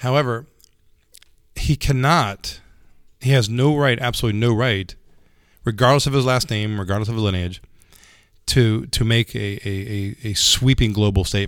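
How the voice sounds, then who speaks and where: At a moderate pace and medium pitch, a man talks with ordinary pitch variation and long, frequent pauses, recorded very cleanly against a silent background. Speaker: jiu-jitsu instructor. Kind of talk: casual chat. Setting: martial arts academy.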